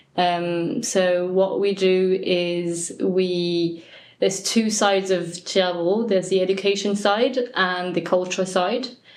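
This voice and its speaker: A woman at medium pitch and very slow pace, with very even loudness and fairly even intonation, amid audible room echo and noticeable background noise. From Brittany, France, with a Cornish mother. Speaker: Breton language organization worker. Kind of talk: interview. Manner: hesitant, with fillers.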